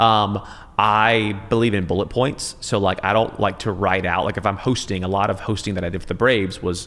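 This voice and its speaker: With an American accent, a man talks at a fairly low pitch and with fairly even intonation. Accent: Southern accent, largely trained out. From US South, Middle Georgia. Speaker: TV news anchor. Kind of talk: casual chat. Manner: clear enunciation.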